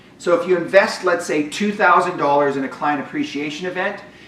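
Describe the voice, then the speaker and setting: A man speaks fairly quickly in a high voice. Room echo and noticeable background noise can be heard. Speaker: business coach for realtors. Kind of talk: webinar presentation. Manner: fast.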